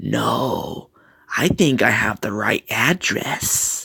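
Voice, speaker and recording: The put-on character voice is raspy and comes at a very slow pace. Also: man, medium pitch for a man. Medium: read story. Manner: creepy, sinister.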